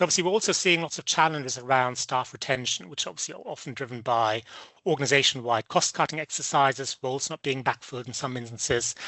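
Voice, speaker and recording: Very fast speech from a medium-pitched man with a slight German accent, big swings in loudness and ordinary pitch variation. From Germany. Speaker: business development presenter. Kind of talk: webinar presentation. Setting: online webinar. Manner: hesitant, many fillers.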